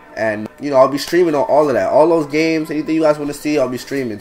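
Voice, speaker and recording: With music in the background, a man with an American accent speaks in fairly even intonation. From New York City (Brooklyn). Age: 20s. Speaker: gaming YouTuber. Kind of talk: casual channel introduction. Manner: casual, slangy.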